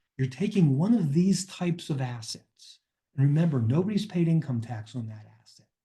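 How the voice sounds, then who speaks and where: Dark, mellow tone from a man, his voice somewhat breathy. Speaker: financial advisor presenting a webinar. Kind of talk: webinar presentation. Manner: hesitant with filler words.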